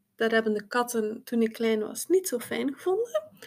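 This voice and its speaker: A fairly high-pitched woman's voice with lively intonation, on a very clean recording with a silent background. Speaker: psychosomatic therapist. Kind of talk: interview.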